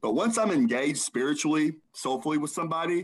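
With a normal speaking voice, a man talks at a fairly high pitch and fairly quick pace with lively intonation. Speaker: podcast co-host. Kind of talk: casual interview chat.

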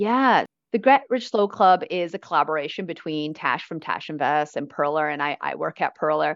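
With a Canadian accent, a woman speaks at a moderate pace with lively intonation in an unremarkable speaking voice. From Canada, Vancouver. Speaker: financial educator and author. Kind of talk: interview.

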